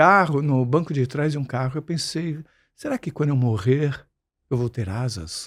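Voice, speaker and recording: Here is an unremarkable speaking voice from a man at a fairly high pitch. He keeps a moderate pace on a very clean recording with a silent background. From Brazil, Santos (São Paulo coast). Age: 60s. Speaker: musician and screenwriter, podcast guest. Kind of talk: interview conversation.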